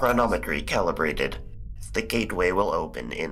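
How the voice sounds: A man puts on a robotic character voice. Clear background noise is present. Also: fairly quick pace.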